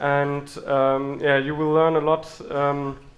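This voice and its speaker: Noticeable background noise and audible room echo surround a man with a fairly high pitch. He speaks with a strong German accent. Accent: heavy German. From Germany. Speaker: software engineer and conference speaker. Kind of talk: conference talk. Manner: halting, many fillers.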